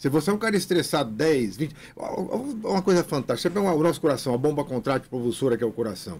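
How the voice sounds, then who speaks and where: Very wide pitch swings and an animated tone mark this somewhat breathy voice, delivered at a very fast pace with very even loudness. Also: man, fairly high pitch for a man. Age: 60s. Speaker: physical education professor. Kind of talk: radio interview. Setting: radio studio.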